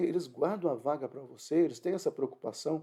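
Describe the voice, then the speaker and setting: A man with a high pitch speaks in a dark, mellow tone with ordinary pitch variation. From northern Paraná, Brazil. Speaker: pastor. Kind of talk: sermon. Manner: halting.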